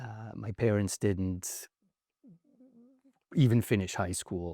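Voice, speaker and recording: With a slight French accent, a man talks at a very slow pace in a dark, mellow tone and fairly even intonation, the sound dry and close with no echo on a very clean recording with a silent background. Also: fairly low pitch for a man. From rural France. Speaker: investor. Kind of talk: interview.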